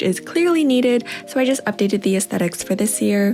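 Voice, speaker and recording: Over music in the background, a woman speaks at a fairly quick pace with a medium pitch. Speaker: lifestyle YouTuber. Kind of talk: tutorial. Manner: fast.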